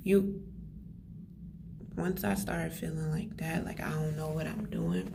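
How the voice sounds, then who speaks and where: A soft-spoken whisper over noticeable background noise. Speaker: faith vlogger. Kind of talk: casual vlog. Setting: study room. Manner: whispering, soft.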